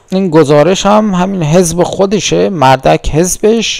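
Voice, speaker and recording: There is noticeable background noise. Through it, a man talks at a fairly high pitch. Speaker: political commentator. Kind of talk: commentary on news clips. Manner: animated.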